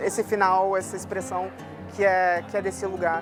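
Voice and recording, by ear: A woman speaks. Music plays in the background.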